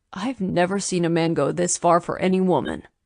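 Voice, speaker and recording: In a raspy, put-on character voice, a woman talks at a fairly quick pace and a fairly low pitch. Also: fairly even intonation. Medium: read story.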